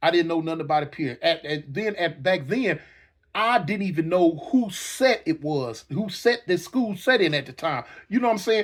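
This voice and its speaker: At a moderate pace, a man with high pitch sounds animated, his intonation lively, in a very clean recording with a silent background. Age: 60s. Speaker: former gang member storyteller. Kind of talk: storytelling monologue. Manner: repetitive, halting.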